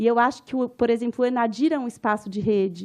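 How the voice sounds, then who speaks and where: Speaking with a Minas Gerais accent, a woman talks at a moderate pace in a high voice. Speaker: anthropologist and professor. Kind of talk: conference lecture. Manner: informal, conversational.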